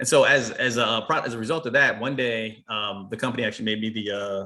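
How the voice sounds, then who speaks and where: The voice is a man's, with an American accent. It carries a bright, sharp tone. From US, Baltimore. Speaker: manufacturing business owner. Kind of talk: webinar talk. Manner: fast; halting.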